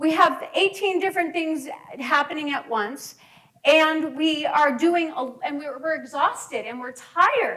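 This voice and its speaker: A woman speaks in a raised, projected voice at an extremely high pitch with lively intonation. Her pace is very slow. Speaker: counselor giving a talk. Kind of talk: presentation to a group.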